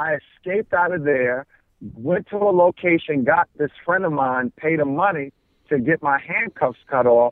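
At a moderate pace, a man with a fairly high pitch, ordinary pitch variation, a normal speaking voice and an American accent speaks. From New York City (Queens). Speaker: pastor. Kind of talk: interview.

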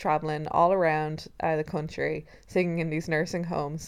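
In a very clean recording with a silent background, a woman with an Irish accent speaks at a fairly low pitch. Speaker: podcast co-host. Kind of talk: casual chat. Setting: recording in bed at home. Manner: loud.

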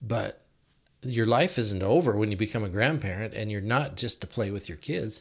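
This man has a normal speaking voice with an American accent and a fairly low pitch. He talks at a moderate pace with ordinary pitch variation. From Washington State, US (Yakima). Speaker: church deacon. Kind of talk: casual chat.

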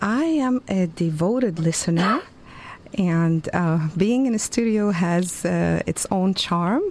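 With a Lebanese accent, a woman at medium pitch speaks at a very slow pace with lively intonation and very even loudness. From Lebanon, Beirut. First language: Arabic. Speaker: university Arabic lecturer. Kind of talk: radio interview. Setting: radio studio.

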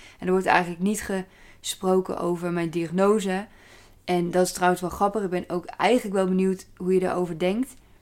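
A woman's medium-pitched, flat, monotone voice at a fairly quick pace. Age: 30s. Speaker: podcaster. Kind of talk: casual solo monologue.

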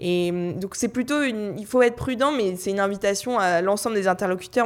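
A woman's plain, everyday voice at a medium pitch and fairly quick pace, with ordinary pitch variation. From France, Paris. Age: 20s. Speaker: youth association director. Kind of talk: panel discussion.

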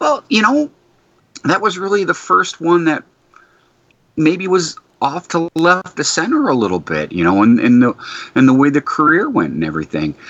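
At a moderate pace, a man speaks with long, frequent pauses in a dry, close sound with no echo. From Detroit, Michigan. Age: 50s. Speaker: podcast co-host. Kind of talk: casual interview chat.

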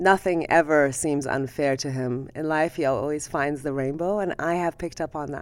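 On a very clean recording with a silent background, a woman with a Persian accent speaks at a moderate pace with hardly any pauses, fairly even intonation, and a very deep, low pitch. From Iran. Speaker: ophthalmologist. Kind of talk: interview conversation.

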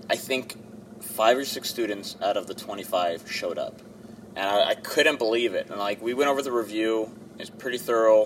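Noticeable background noise sits behind a man speaking at a moderate pace. His pitch is medium, with ordinary variation. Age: 30s. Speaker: college instructor. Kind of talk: casual chat. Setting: in a car.

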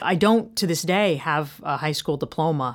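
Her voice is an ordinary speaking voice, fairly low in pitch, as this woman with an American accent talks at a moderate pace with ordinary pitch variation. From US South, North Carolina. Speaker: author and business coach. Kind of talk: interview.

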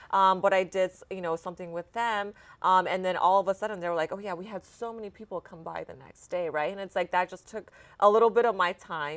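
On a very clean recording with a silent background, a woman with an American accent and a plain, everyday voice talks fairly quickly at medium pitch with fairly even intonation. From Texas, Dallas. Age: 30s. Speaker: real estate company founder. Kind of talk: interview.

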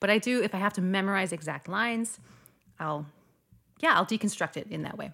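A woman with a slight Midwestern accent speaks at a fairly quick pace in a medium pitch with ordinary pitch variation and long, frequent pauses, on a very clean recording with a silent background. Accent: general American, slight Midwestern. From US, North Dakota. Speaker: opera singer. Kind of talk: casual interview chat.

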